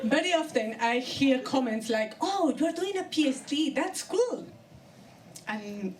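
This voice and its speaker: Over noticeable background noise and audible room echo, a woman with a Colombian accent speaks at a fairly slow pace in a high voice that swings very widely in pitch. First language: Spanish. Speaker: comedian. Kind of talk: stand-up. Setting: stage with audience.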